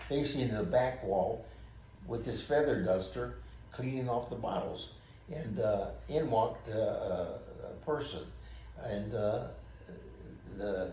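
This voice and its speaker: Speaking at a fairly slow pace with long, frequent pauses, a man is heard amid audible room echo and noticeable background noise. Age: 80s+. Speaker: retired police officer. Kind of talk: storytelling. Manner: halting.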